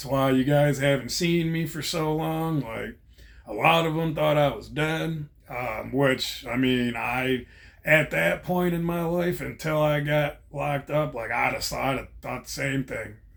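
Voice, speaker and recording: A man with a plain, everyday voice speaks at a fairly slow pace, fairly high in pitch, with ordinary pitch variation. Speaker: vlogger, former prisoner. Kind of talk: casual monologue.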